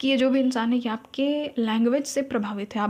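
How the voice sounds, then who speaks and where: This woman talks at a moderate pace in a fairly high pitch. Her intonation stays fairly even. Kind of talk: casual, Hindi mixed with English words.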